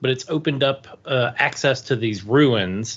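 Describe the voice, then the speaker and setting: A plain, everyday voice from a man at medium pitch, lively intonation and a moderate pace. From US, DC area. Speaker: podcast co-host. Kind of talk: casual chat.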